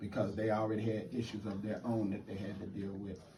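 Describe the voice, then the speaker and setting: A man's fairly low voice in an American accent, monotone and flat at a moderate pace, with noticeable background noise and audible room echo. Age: 60s. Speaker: postal carrier. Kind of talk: interview.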